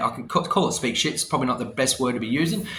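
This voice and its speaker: The speaker has an Australian accent and lively intonation. The tone is animated throughout. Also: man. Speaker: vlogger. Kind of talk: casual rant to camera. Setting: hotel room.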